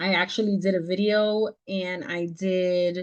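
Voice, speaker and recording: Medium pitch and ordinary pitch variation from a woman. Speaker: business mentor teaching a tax class. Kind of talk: online class with Q&A. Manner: fast.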